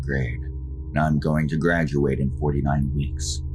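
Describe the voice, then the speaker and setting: A fairly slow pace over music in the background. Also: man. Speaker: horror story narrator. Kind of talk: horror story narration, read aloud.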